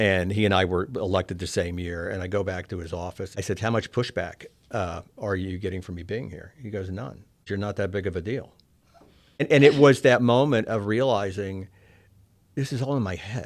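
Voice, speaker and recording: A fairly low-pitched man with an American accent, moderate pace, ordinary pitch variation, and big swings in loudness. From Oklahoma, Collinsville. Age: 60s. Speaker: former state senator turned lobbyist. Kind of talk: interview. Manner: halting, with repeated words.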